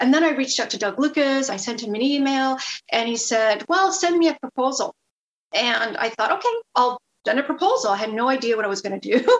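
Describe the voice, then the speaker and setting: A woman speaks with a high pitch and an energetic tone. Her intonation is lively and her pace fairly quick. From Quebec. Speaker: TV producer and host. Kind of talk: casual interview.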